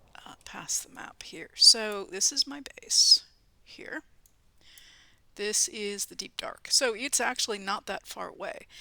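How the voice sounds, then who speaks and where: Her loudness swings widely as a woman speaks at a fairly slow pace, leaving long, frequent pauses. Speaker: gaming YouTuber. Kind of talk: let's play commentary. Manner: hesitant, many fillers; whispering at times.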